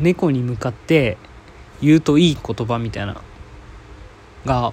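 With ordinary pitch variation and a medium pitch, a man talks at a fairly slow pace. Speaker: podcast host. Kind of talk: solo casual talk. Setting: at home, in quarantine.

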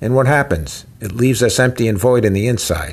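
A man speaks at a moderate pace. His voice is somewhat breathy. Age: old. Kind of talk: sermon-style teaching. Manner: animated.

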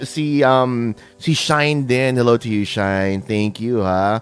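A man with a Filipino accent talks at a moderate pace and a medium pitch. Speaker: radio host. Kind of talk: radio interview, Taglish. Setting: internet radio livestream.

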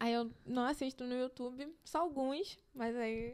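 At a fairly slow pace, a woman speaks with a high voice. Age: 20s. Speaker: fashion student. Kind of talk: casual chat. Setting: home studio in bedroom.

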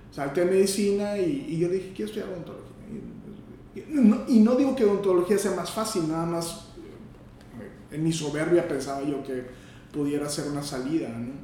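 Over noticeable background noise and audible room echo, a man with a high voice speaks fairly quickly with lively intonation, big swings in loudness and long, frequent pauses. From northern Mexico, Matamoros. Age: 50s. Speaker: gynecologist and obstetrician. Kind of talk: interview. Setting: doctor's office. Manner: halting.

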